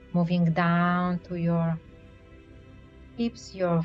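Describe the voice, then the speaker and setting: A woman speaks in a calm, soothing tone. Music plays in the background. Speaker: certified clinical hypnotherapist. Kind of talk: hypnotherapy induction, progressive muscle relaxation. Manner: calm, soothing, slow-paced.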